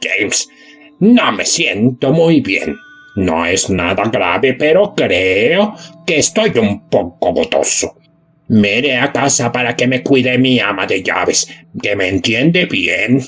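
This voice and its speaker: A man's put-on character voice at a medium pitch, fairly slow, with very wide pitch swings and faint music in the background. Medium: read story.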